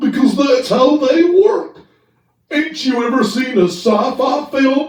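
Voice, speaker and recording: A man puts on a character voice with a Southern US accent, pitched extremely high. He goes at a fairly slow pace, with a slight echo. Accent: Southern rural dialect. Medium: audio drama. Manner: excitable, folksy.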